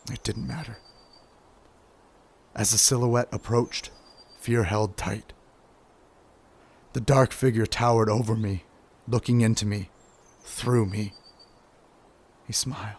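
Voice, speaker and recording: At a fairly slow pace with long, frequent pauses, a man with a medium pitch and a somewhat breathy voice keeps his intonation fairly even. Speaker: voiceover artist. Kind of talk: dramatic story narration.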